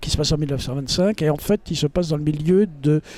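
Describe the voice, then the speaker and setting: With a fairly high pitch and a dark, mellow tone, a man speaks at a moderate pace with ordinary pitch variation in a dry, close sound with no echo. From France, Paris. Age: 70s. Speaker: novelist. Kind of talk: casual self-presentation to camera. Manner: hesitant, many fillers.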